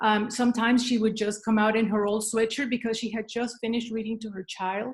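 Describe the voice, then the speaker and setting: A woman with a Spanish accent, fairly high in pitch and somewhat breathy, at a fairly quick pace. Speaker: leadership speaker. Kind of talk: keynote talk. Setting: video call, standing up.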